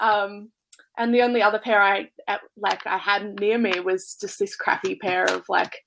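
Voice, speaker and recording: Her accent is Australian. The woman talks at a medium speed. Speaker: music fan. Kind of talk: casual chat. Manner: halting.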